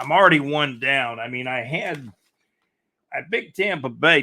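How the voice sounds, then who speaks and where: A man with an American accent and vocal fry. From US South, Jacksonville, Florida. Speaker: podcast host. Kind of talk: casual sports talk. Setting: live stream. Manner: fast.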